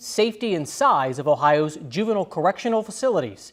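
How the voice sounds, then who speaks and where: Music sits in the background as a man talks fairly quickly in a high pitch with lively intonation. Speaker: TV news anchor. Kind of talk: TV news anchor reel. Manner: polished, newscast delivery.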